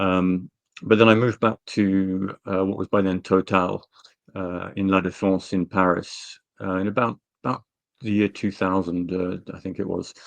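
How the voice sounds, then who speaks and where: Over a quiet background, a man with a very deep, low pitch speaks at a moderate pace in a monotone, flat intonation, with a dry, close sound and no echo. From Britain. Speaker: energy analyst. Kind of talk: interview. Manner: halting, many fillers.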